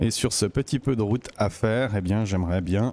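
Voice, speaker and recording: With a Swiss accent, a man speaks at a medium pitch with ordinary pitch variation. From Switzerland. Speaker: gaming YouTuber. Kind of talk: let's play commentary. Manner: casual, hesitant with fillers.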